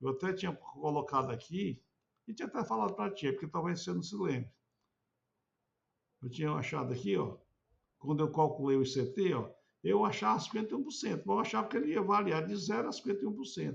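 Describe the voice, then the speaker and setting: A man talks very fast at a fairly high pitch with vocal fry and very wide pitch swings, broken by long, frequent pauses. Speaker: researcher explaining a chart to a professor. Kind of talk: explanatory screen walkthrough. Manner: halting, many repetitions.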